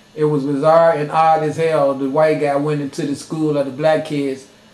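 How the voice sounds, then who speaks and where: A man speaks at a fairly high pitch while noticeable background noise runs underneath. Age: 50s. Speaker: video blogger. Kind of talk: monologue rant. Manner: animated.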